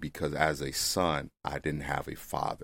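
With an American accent, a man speaks at a fairly slow pace in a very deep, low pitch with vocal fry and monotone, flat intonation. The recording is very clean, with a silent background. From US South, Mississippi. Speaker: family therapist and former pro football player. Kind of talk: interview.

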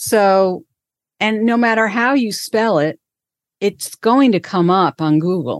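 A woman's medium-pitched, very slow voice with lively intonation and very even loudness, dry and close with no echo, over a quiet background. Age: 60s. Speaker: career coach. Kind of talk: interview conversation.

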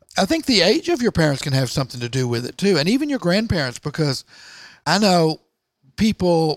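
A man with a normal speaking voice talks at a fairly quick pace in a fairly high pitch. The sound is dry and close with no echo, on a very clean recording with a silent background. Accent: American. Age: 60s. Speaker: entrepreneur and author. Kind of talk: interview. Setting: office garage.

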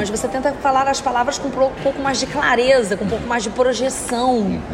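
A woman with a strong carioca accent talks at a very fast pace with hardly any pauses, in a high pitch. Audible room echo and noticeable background noise come through in the recording. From Rio de Janeiro, Baixada Fluminense. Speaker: radio presenter. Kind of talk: casual chat.

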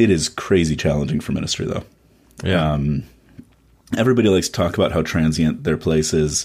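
A man with a very deep, low voice and an American accent talks at a fairly quick pace with ordinary pitch variation. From US Midwest, Chicago. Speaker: pastor. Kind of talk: podcast interview.

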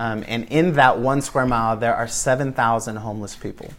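Heard with audible room echo, a man keeps a moderate pace and fairly even intonation. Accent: American. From West Michigan, US Midwest. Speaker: pastor. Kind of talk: sermon. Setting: home gathering.

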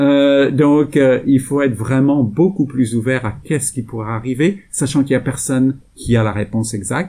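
A man's medium-pitched voice, dark and mellow in tone, with hardly any pauses. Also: ordinary pitch variation, moderate pace. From France. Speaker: sustainable investment executive. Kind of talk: interview. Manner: hesitant, many fillers.

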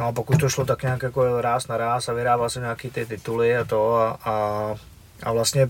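A man with a Moravian accent talks with fairly even intonation. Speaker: former kickboxer and fight organizer. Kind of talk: casual chat.

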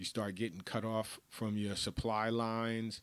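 The recording is very clean, with a silent background. A man with a fairly low pitch speaks in a New York accent. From New York, the Bronx. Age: 50s. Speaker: podcast host. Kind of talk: casual monologue. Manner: animated.

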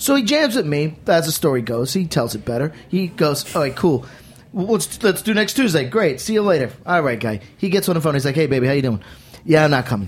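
Very wide pitch swings in an American accent over noticeable background noise. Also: man, fairly high pitch for a man, fairly quick pace. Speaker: rock guitarist. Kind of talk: casual chat. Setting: studio. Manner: animated.

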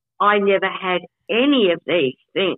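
This woman speaks with an Australian accent. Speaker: podcast co-host with FND. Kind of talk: casual chat. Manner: halting.

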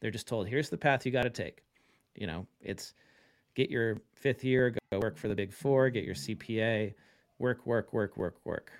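A man with an ordinary speaking voice talks fairly quickly at a medium pitch, his intonation lively. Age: 40s. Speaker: accounting tech founder and CPA. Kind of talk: podcast interview. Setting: remote call.

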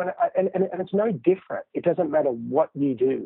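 Fairly quick speech in an Australian accent. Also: man. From Australia, Sydney. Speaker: entrepreneur, founder of a golf training company. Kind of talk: interview. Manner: hesitant, many fillers.

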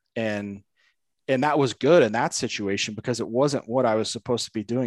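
A man with an American accent and a normal speaking voice, medium pitch, ordinary pitch variation and moderate pace, dry and close with no echo, over a quiet background. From northern Indiana, US Midwest. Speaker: golf instructor and podcast host. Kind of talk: casual interview conversation.

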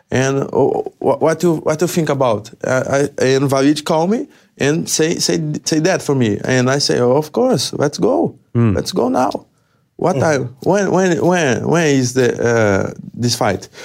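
A man with a Portuguese accent, at a fairly slow pace, with lively intonation and very even loudness. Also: fairly high pitch for a man. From Brazil. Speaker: MMA fighter. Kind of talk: interview. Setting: studio. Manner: halting.

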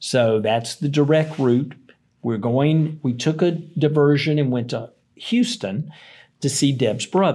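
A man's fairly high voice in a dark, mellow tone with an American accent and ordinary pitch variation, on a very clean recording with a silent background. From US South, Tennessee. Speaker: company founder and CEO. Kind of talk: interview.

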